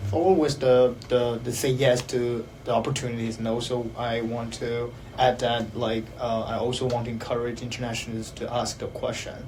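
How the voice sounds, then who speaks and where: Speech runs at a moderate pace with hardly any pauses and monotone, flat intonation. Audible room echo and noticeable background noise surround it. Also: man, medium pitch for a man. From China. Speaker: counseling psychology PhD student. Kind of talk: panel discussion. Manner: halting, many fillers.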